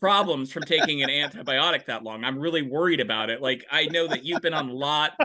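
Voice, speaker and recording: Hardly pausing, a man speaks at a very fast pace in a fairly high voice. His pitch varies in an ordinary way, over noticeable background noise. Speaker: podcast co-host. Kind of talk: casual chat.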